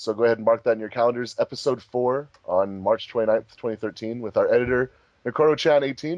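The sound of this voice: A man talks at a fast pace with a medium pitch. His tone is slightly mellow, and his pitch varies in an ordinary way.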